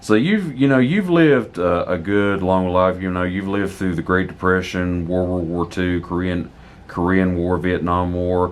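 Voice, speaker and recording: Pitch varies in an ordinary way as the speaker goes along fairly slowly. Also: man. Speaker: local history interviewer. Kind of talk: interviewer questions.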